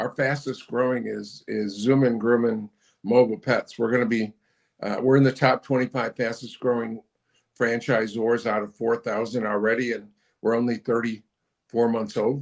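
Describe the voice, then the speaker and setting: The speech keeps a moderate pace with monotone, flat intonation. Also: man, medium pitch for a man. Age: 70s. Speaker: business founder, franchisor. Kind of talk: interview. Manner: halting, repeats words.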